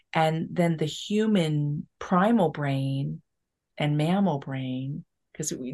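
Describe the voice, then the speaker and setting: A woman speaks in a plain, everyday voice at a fairly low pitch with ordinary pitch variation. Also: quiet background. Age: 50s. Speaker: spiritual teacher and author. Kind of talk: casual chat. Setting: podcast interview.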